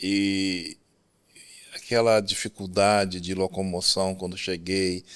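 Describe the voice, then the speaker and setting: Very slowly, a man speaks at a very deep, low pitch with monotone, flat intonation. The recording is very clean, and the background is silent. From Brazil. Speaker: telecom engineer. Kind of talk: podcast interview.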